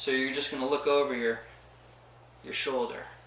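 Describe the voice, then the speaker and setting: Noticeable noise sits in the background. The room echo is audible. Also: man. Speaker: chiropractor. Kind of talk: informal health advice monologue. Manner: fast; animated.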